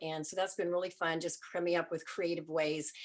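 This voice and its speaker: At a fairly quick pace, a woman with a fairly low pitch speaks in an ordinary speaking voice. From Vancouver, Canada. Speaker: music promoter and manager. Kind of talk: panel discussion.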